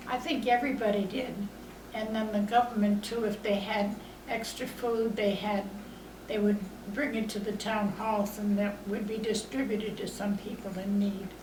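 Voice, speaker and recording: With audible room echo and noticeable background noise, a woman talks at a moderate pace in a fairly high, monotone voice with flat intonation. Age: 80s+. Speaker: elderly interviewee recalling the Depression. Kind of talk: oral history interview. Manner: halting, with many fillers.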